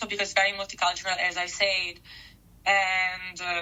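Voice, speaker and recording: This woman speaks with an Italian accent. Her pitch sits in the medium range. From Italy, Milan. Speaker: interviewee, office worker abroad. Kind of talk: interview.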